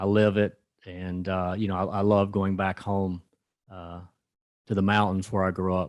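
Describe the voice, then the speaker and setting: Over a quiet background, a man with a Southern US accent speaks at a moderate pace with long, frequent pauses, in a very deep, low voice with monotone, flat intonation. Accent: Southern US (Georgia). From rural North Georgia, US South. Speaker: rural development lending executive. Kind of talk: conference talk. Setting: conference event with audience. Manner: many filler words.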